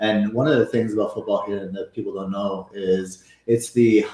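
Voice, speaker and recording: With fairly even intonation, a man speaks at a moderate pace in a fairly low pitch. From Venezuela and Canada. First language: Spanish. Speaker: football coach. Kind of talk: casual interview chat. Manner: halting, many fillers and repetitions.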